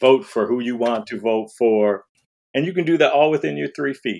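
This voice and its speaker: This man has an unremarkable speaking voice with an American accent and a medium pitch. He talks at a moderate pace with lively intonation. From Detroit, Michigan. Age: 50s. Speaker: diversity speaker. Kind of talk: casual interview chat.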